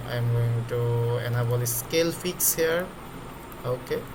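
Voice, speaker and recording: A man of medium pitch speaks with a non-native accent amid noticeable background noise and audible room echo. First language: not English. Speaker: trading tutorial creator. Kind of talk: screen-recorded tutorial. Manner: halting, with many fillers.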